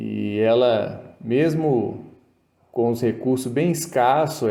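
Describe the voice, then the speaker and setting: Ordinary pitch variation marks this man's medium-pitched speech. His tone is dark and mellow. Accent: rural Minas Gerais. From Brazil, Minas Gerais (Ponte Nova). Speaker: toolmaking instructor, YouTuber. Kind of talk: casual tutorial talk.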